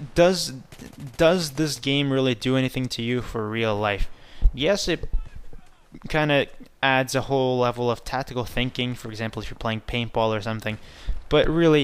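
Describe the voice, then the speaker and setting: On a very clean recording with a silent background, a man of medium pitch speaks at a moderate pace. He leaves long, frequent pauses. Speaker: gaming youtuber. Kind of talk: gameplay commentary. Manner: monotone. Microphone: headset mic, old mic broken.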